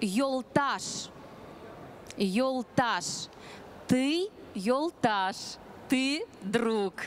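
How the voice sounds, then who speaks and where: Light background noise runs under the recording. A woman speaks at a high pitch. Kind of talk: lively presentation to an audience. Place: stage. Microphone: handheld.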